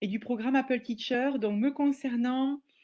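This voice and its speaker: Speaking with a southwestern French accent, a woman uses a high voice. The background is quiet. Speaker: teacher and educational trainer. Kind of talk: webinar presentation. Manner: hesitant, many filler sounds.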